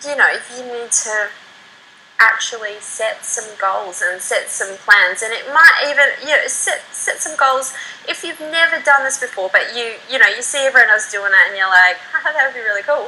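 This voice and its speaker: Raised and projected, a woman's high voice carries lively intonation and big swings in loudness. Noticeable background noise runs underneath. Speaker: internet marketer. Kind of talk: interview. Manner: fast; animated.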